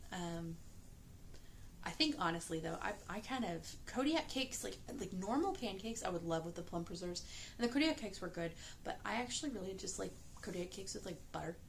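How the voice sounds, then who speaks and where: Over noticeable background noise, a woman at a medium pitch talks at a fairly quick pace with very wide pitch swings. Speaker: pastry chef and mother of young children. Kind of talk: casual talk to camera, vlog. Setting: late at night, quiet home. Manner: soft-spoken, calm, quiet.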